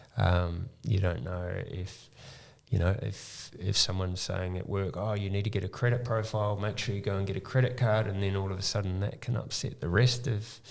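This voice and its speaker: In a New Zealand accent, a man speaks at a moderate pace. His pitch is fairly low and his intonation fairly even. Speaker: mortgage broker. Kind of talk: podcast interview. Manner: halting, many ums.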